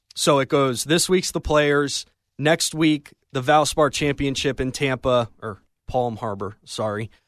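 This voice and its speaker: A man with an unremarkable speaking voice, fairly high-pitched, with ordinary pitch variation and a fairly slow pace against a quiet background. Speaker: sports radio producer and update reader. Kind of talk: sports news update. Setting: radio studio.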